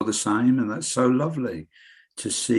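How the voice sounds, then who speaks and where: The speaker is a man with an English accent. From England. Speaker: local radio presenter. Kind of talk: interview.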